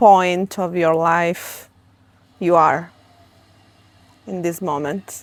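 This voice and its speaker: An Italian accent at a very slow pace, with big swings in loudness and long, frequent pauses, on a very clean recording with a silent background. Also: woman. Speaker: interviewer. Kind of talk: interview conversation.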